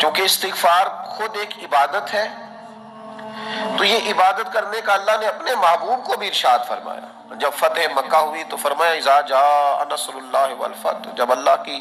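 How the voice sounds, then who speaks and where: A man talks in a high pitch, his intonation lively, with noticeable background noise around him. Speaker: Islamic preacher. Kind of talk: Islamic sermon (bayan) delivered to an audience. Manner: emotional, preaching.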